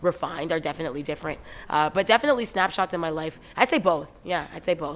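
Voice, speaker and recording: At a very fast pace, a woman speaks with a fairly low pitch. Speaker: rapper. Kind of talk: interview. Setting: music awards gala. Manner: halting.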